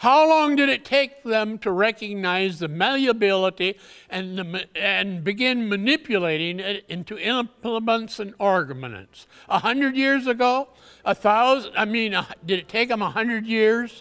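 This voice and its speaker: Against a quiet background, a man with a bright, sharp, high voice talks at a moderate pace with ordinary pitch variation. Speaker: conference presenter. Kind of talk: lecture. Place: hall.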